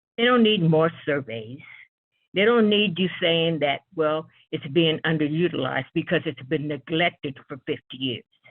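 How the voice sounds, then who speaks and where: With an American accent, a woman talks at a moderate pace in a very deep, low pitch, her intonation lively. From Utah (Ogden). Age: 70s. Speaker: public commenter. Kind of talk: public comment.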